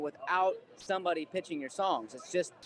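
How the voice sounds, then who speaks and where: A man with an American accent and a high pitch, at a moderate pace, in a dry, close sound with no echo. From Ohio, US. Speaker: singer-songwriter. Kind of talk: workshop Q&A talk.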